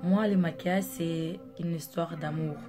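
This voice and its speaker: With a non-native accent, a woman speaks very slowly in a fairly low pitch and fairly even intonation, with music in the background and audible room echo. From Angola. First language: Portuguese (speaking French). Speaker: makeup artist, vlogger. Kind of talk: casual vlog introduction. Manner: hesitant, many fillers.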